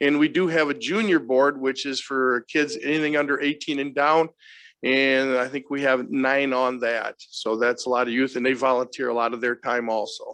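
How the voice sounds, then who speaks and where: An unremarkable speaking voice with an American accent moves at a moderate pace with ordinary pitch variation over a quiet background. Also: man, medium pitch for a man. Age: 60s. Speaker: fair association representative. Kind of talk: public meeting presentation.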